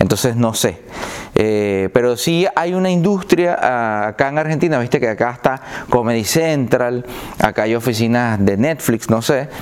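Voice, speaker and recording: Over noticeable background noise, someone speaks fairly slowly with a Venezuelan accent and lively intonation. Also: man, medium pitch for a man. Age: 40s. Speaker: comedian. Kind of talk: casual chat.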